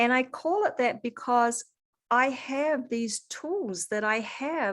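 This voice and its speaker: Recorded very cleanly over a silent background, a woman speaks with a slight New Zealand accent. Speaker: holistic coach. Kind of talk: interview.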